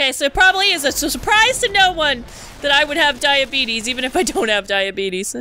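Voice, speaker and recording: Over noticeable background noise, a woman uses a raised, projected voice at a high pitch, with very wide pitch swings and a fairly quick pace. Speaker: gaming video creator. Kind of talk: casual let's play commentary. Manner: animated, laughs often.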